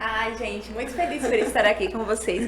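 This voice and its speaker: Amid noticeable background noise and audible room echo, a woman with a fairly high pitch speaks at a moderate pace. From Brazil, Pernambuco (Agreste, Recife). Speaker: neonatal nurse. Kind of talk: podcast interview. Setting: podcast.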